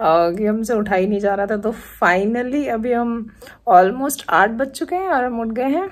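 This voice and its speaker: Her pace is fairly slow. The woman's pitch rises and falls in an ordinary way. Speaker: travel vlogger. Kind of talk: casual vlog chat. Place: home room. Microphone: phone near.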